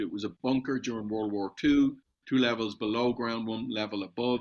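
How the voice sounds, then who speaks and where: Here a man speaks with an Irish accent and fairly even intonation. The recording is very clean, with a silent background. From Ireland. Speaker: metals supplier and entrepreneur. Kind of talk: podcast interview.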